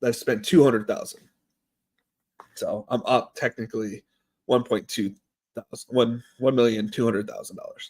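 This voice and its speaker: Someone with an American accent talks at a moderate pace with long, frequent pauses and big swings in loudness, in a dry, close sound with no echo. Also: man. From US Midwest. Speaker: streamer. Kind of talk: casual livestream chat.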